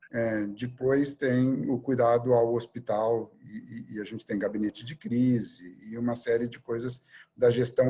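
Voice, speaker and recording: This man's voice is medium in pitch, somewhat breathy, and dark and mellow in tone. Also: very clean recording, silent background. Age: 60s. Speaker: surgeon and hospital director. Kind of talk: interview conversation. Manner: hesitant, many fillers.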